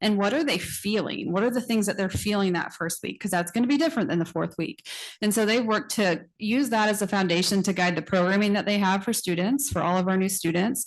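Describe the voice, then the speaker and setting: Talking very fast with hardly any pauses, a woman keeps a medium pitch, very even loudness, and ordinary pitch variation. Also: quiet background. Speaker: college administrator. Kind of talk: presentation to board. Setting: board meeting.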